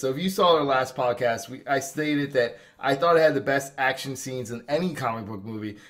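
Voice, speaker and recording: With a New Jersey accent, a man speaks at a very fast pace. His pitch is fairly high. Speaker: podcast host. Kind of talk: casual chat.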